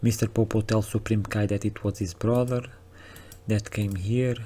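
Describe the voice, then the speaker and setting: A man with a fairly low pitch speaks in a dark, mellow, somewhat breathy tone with monotone, flat intonation. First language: not English. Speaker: anime reaction youtuber. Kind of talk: casual episode recap commentary. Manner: casual, hesitant with fillers and restarts.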